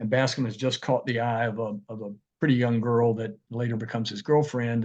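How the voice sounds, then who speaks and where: Against a quiet background, a man with an Appalachian accent speaks at a fairly quick pace with a medium pitch and monotone, flat intonation. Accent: Southern Appalachian American. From Tazewell, Virginia. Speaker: author and lawyer. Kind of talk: book talk.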